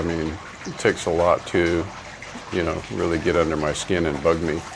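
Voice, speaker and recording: A man speaks in a very deep, low voice with flat, monotone intonation, with audible room echo and noticeable background noise. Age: 60s. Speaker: travel vlogger. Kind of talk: casual vlog commentary. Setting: outdoors.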